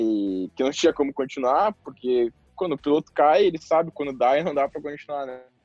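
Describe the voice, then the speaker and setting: This man talks at a fairly quick pace with a fairly high pitch in a normal speaking voice. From southern Brazil. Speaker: professional motocross rider. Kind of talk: interview. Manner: casual.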